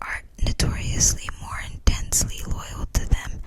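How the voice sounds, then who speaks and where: Noticeable background noise surrounds a whisper that unfolds at a very slow pace. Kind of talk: whispered book reading for relaxation. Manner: whispered, soft-spoken.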